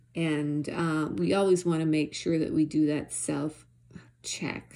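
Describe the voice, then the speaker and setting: A woman speaks at a fairly slow pace with a very deep, low pitch. Her tone is gentle, dark and mellow, with monotone, flat intonation. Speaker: prayer video host. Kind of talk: fervent prayer, earnest and pleading, spoken aloud to God. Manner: halting, hesitant with frequent 'um' pauses and repeated words; earnest, gentle and devotional.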